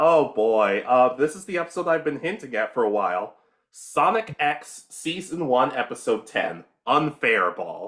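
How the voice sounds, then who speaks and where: With vocal fry and a fairly high pitch, a man speaks at a fairly slow pace, his pitch swinging very widely. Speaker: anime podcast co-host. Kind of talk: casual chat.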